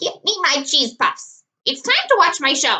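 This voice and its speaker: In a put-on, squeaky character voice, a woman talks at a moderate pace with extremely high pitch and very wide pitch swings. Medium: read story. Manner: bossy, curt.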